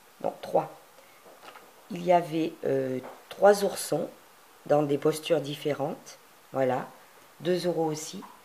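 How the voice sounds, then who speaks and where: Against noticeable background noise, a woman with a very deep, low pitch speaks fairly slowly, with ordinary pitch variation and long, frequent pauses. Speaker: crafting youtuber. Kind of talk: tutorial. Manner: hesitant, many fillers.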